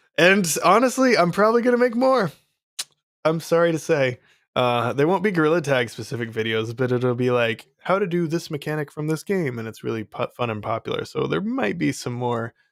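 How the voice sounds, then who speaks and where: The man's fairly high pitch moves in very wide swings. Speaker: VR developer and online course creator. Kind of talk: live stream chat with viewers. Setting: live stream. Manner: casual, filler-heavy with many ums.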